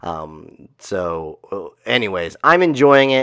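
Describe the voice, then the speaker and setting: Over a quiet background, a man speaks very slowly at a medium pitch, with very wide pitch swings. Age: 30s. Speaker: martial arts school owner and podcast host. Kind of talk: solo podcast monologue. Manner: casual with many filler words.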